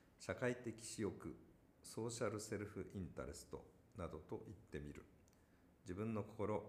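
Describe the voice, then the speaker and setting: Somewhat breathy and fairly low in pitch, a man talks at a moderate pace with long, frequent pauses. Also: ordinary pitch variation. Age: 50s. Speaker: company founder and executive. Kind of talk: casual chat; reading aloud.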